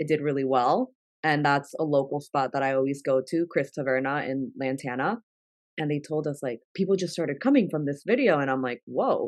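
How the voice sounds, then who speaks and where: A woman's very deep, low voice with a Spanish accent, ordinary pitch variation and a fairly quick pace. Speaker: content creator. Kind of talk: interview conversation.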